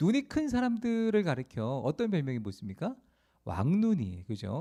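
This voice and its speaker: A man with a Chungcheong accent, a dark, mellow tone and very wide pitch swings at a moderate pace, on a very clean recording with a silent background. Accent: Chungcheong dialect Korean. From South Korea, rural Asan, South Chungcheong. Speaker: pastor. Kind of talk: sermon. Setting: church, Friday prayer meeting.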